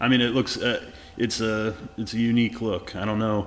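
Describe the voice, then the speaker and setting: A man's fairly low-pitched voice at a moderate pace, with music in the background. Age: 30s. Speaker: podcast host. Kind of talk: casual interview. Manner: animated.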